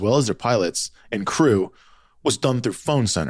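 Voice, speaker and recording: A man with an unremarkable speaking voice talks in a medium pitch using lively intonation. The recording is very clean with a silent background. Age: 40s. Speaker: podcast host. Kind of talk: casual chat.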